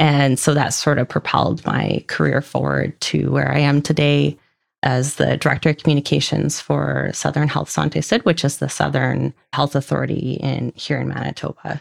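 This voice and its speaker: In a Canadian accent, a woman speaks at a moderate pace with a dry, close sound and no echo. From Vancouver Island, British Columbia, Canada. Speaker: military spouse, communications director. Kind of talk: casual interview.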